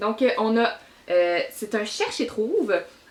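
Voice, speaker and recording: Against noticeable background noise, a woman with a Quebec accent and a fairly high pitch speaks at a very slow pace. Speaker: book reviewer. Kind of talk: casual book review vlog. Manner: hesitant, many fillers.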